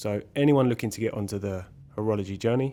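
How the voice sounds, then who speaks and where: A man speaks with a fairly low pitch, a dark, mellow tone and ordinary pitch variation. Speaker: watch restoration hobbyist youtuber. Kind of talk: voiceover narration.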